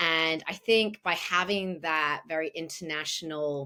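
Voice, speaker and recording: A woman with a British accent speaks in a very deep, low pitch with a bright, sharp tone. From England. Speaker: wine broadcaster and educator. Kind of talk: podcast interview. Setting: remote call.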